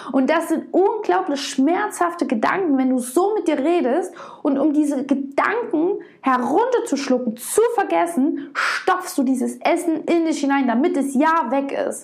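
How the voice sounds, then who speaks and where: Over noticeable background noise and audible room echo, a woman speaks fairly slowly in a high voice at very even loudness. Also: lively intonation. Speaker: podcast host and body-image coach. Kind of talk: solo podcast monologue. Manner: emotional, heartfelt.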